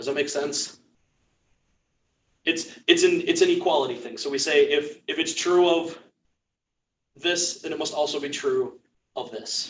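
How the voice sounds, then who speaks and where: Loudness swings widely as a man talks at a fairly slow pace, leaving long, frequent pauses. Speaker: church class teacher. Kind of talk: lecture. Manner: halting.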